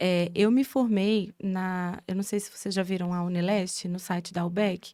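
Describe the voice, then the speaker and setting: A woman with a Minas Gerais accent speaks in a dark, mellow tone with fairly even intonation. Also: medium pitch for a woman, moderate pace. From Brazil, interior of Minas Gerais. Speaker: physiotherapy professor. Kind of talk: casual podcast chat. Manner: halting, many fillers.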